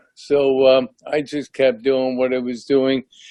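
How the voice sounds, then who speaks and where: The speaker is a man with a medium pitch. He delivers his words very slowly. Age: 60s. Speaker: ALS patient, retired teacher and coach. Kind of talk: testimony on video call. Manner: halting, many fillers.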